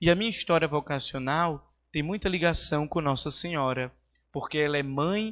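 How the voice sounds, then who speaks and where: Recorded very cleanly against a silent background, a man speaks in a fairly high pitch. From Brazil, Northeast (Natal, Rio Grande do Norte). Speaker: seminarian. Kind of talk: homily. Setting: church.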